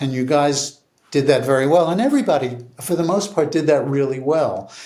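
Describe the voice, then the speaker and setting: A man speaks at a moderate pace with an American accent. The room echo is audible. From New York. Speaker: TV series creator and writer. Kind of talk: casual interview chat. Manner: hesitant, thoughtful.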